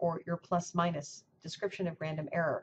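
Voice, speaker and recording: The voice is somewhat breathy. Light background noise runs underneath. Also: woman. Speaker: university professor. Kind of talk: lecture. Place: office. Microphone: webcam.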